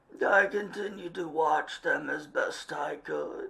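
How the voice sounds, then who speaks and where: A man puts on a raspy character voice and drags it out at a very slow pace. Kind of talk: period English gentleman. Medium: read story. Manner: formal, measured, gentlemanly.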